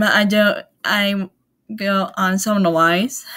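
This is a woman speaking. Her voice sits at a medium pitch. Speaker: youtuber presenting anime release dates. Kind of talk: casual vlog lesson reading dates. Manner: halting, many fillers.

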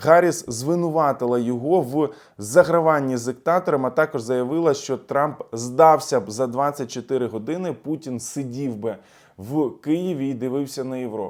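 The recording is very clean, with a silent background, and a man speaks in an ordinary speaking voice at medium pitch and a fairly slow pace. His pitch variation is ordinary, while his loudness swings widely. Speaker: political analyst and YouTube blogger. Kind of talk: video commentary. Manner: casual, filler-heavy.

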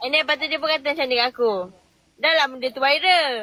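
A woman speaks in an angry tone at a fairly quick pace. Her pitch varies in an ordinary way. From Terengganu, Malaysia. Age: 20s. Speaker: TikTok live guest. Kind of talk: casual chat. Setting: in a car. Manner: sounds angry.

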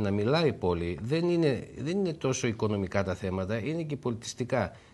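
A man with a normal speaking voice talks at a moderate pace. His pitch sits at a medium level, and his intonation is lively. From Greece, Thessaloniki; Greece. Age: 50s. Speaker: shopkeeper and business association president; interview guest. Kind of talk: TV interview. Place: studio. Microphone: lapel.

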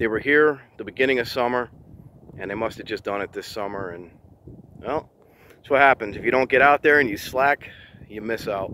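At a fairly quick pace, the voice has a bright, sharp tone, ordinary pitch variation and big swings in loudness, with light background noise and a dry sound with no echo. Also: man. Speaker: explorer vlogger. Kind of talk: casual vlog chat. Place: open country. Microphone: phone near.

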